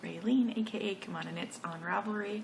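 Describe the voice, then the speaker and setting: A woman talks at a moderate pace with medium pitch and fairly even intonation. Noticeable background noise and audible room echo are present. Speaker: knitting podcaster. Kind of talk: casual monologue. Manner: hesitant, many fillers.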